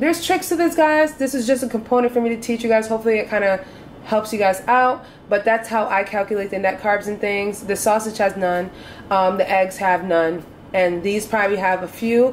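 A woman talks at a fairly quick pace with ordinary pitch variation. There is light background noise. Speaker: home cook vlogger. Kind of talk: tutorial. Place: kitchen.

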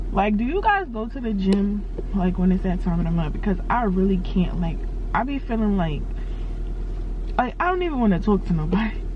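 A woman speaks at a fairly quick pace in a dry sound with no echo, noticeable background noise behind her. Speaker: vlogger. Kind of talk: casual vlog chat. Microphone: phone near.

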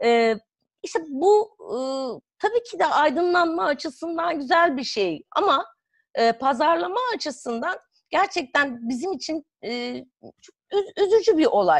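A woman speaks at an extremely high pitch with very wide pitch swings and a fairly slow pace, in a dry sound with no echo and a quiet background. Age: 40s. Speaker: psychotherapist and author; guest. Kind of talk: interview. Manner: hesitant, many fillers. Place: home room. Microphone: video call.

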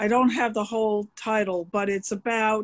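The speech moves at a fairly slow pace against a quiet background. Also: woman. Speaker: audience member. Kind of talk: audience comment. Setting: video call. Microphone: video call.

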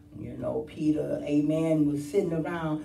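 Speech comes at a fairly slow pace, with audible room echo and light background noise. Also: woman. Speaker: preacher. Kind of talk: sermon. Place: church. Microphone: camera far.

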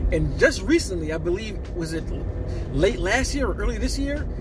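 A man at a fairly quick pace, dry sound with no echo, noticeable background noise behind him. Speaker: film vlogger. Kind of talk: casual vlog commentary. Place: car. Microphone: phone near.

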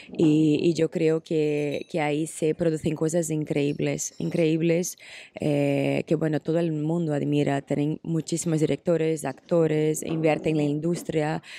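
A woman with a Portuguese accent speaks at a fairly slow pace with hardly any pauses, in a very deep, low pitch and a dark, mellow tone. Her intonation is monotone and flat, and the sound is dry with no echo. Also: very even loudness. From Brazil. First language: Portuguese (speaking Spanish). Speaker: actress. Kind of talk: interview. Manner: hesitant with many fillers. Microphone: handheld.

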